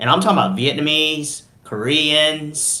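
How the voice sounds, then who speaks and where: With audible room echo, a man with a Southern US accent and a fairly high pitch speaks in an animated tone. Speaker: podcast co-host. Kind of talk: heated debate.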